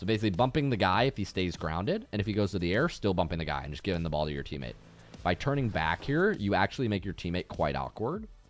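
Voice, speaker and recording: With very wide pitch swings and a very fast pace, the speaker talks in an American accent. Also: man, very deep, low pitch for a man. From United States. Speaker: video game coach. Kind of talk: live coaching session with replay review. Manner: casual, conversational.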